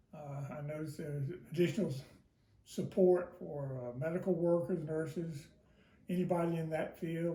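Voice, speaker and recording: A man's fairly high voice carries a dark, mellow tone. His intonation is fairly even, with audible room echo. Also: moderate pace. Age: 80s+. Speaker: interviewee. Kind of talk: interview. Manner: hesitant, many fillers.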